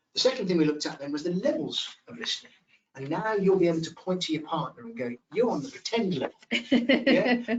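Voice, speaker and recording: A man speaks at a fairly quick pace with vocal fry and very wide pitch swings. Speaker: communication skills trainer. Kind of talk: webinar presentation. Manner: fast.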